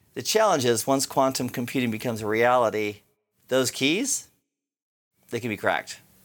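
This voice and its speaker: A man talks fairly quickly in a normal speaking voice at a medium pitch. The recording is very clean, with a silent background. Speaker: IT instructor and network engineer. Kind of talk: interview; guided hypnosis exercise.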